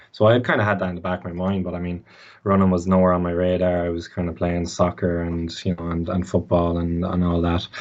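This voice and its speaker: This man has a very deep, low pitch and an Irish Midlands accent. He talks at a very fast pace with monotone, flat intonation. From Ireland, Mullingar. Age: 20s. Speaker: student athlete. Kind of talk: podcast interview. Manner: halting.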